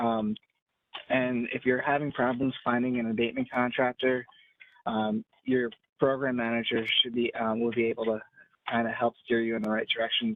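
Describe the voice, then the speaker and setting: A man speaks at a moderate pace and medium pitch. His is an unremarkable speaking voice. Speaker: housing program staff presenter. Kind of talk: webinar tutorial. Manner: many filler words.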